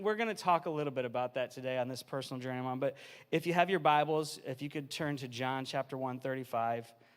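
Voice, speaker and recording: In a very clean recording with a silent background, a man speaks fairly quickly at a medium pitch with ordinary pitch variation. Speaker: family pastor. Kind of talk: sermon. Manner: loud; fast-paced, energetic.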